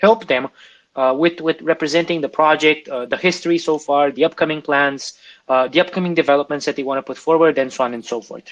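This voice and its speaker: Speaking at a very fast pace, a man with a non-native accent has a fairly high pitch and ordinary pitch variation. The sound is dry and close with no echo, against a quiet background. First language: not English. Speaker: crypto AMA host. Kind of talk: live Q&A presentation. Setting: online audio room. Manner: halting, many fillers and restarts.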